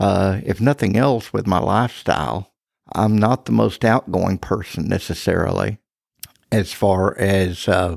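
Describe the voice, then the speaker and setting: A man with a fairly low pitch and an American accent speaks at a fairly slow pace with vocal fry, ordinary pitch variation and very even loudness, in a dry, close sound with no echo on a very clean recording with a silent background. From Texas Panhandle. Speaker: church elder. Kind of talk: interview testimony.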